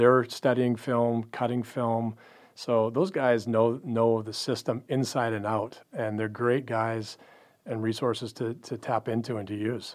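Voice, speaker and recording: A man with a Western Canadian accent talks at a fairly slow pace in a flat monotone at medium pitch, over a quiet background. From Canada, Pacific Northwest. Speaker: pro basketball front office executive. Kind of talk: casual interview. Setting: studio.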